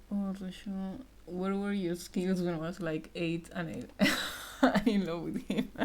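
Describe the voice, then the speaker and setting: Someone with a Spanish accent speaks at a fairly slow pace with ordinary pitch variation. Noticeable background noise runs underneath. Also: woman, medium pitch for a woman. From Argentina. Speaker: streamer and digital artist. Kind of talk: casual live stream chat while drawing.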